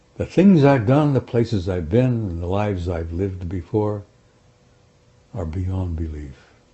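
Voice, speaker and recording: A man's fairly low, somewhat breathy voice with an American accent, lively intonation and a fairly slow pace. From United States. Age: 70s. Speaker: former army sergeant, UFO researcher. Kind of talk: interview. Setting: interview with two hosts. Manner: halting, repeats words.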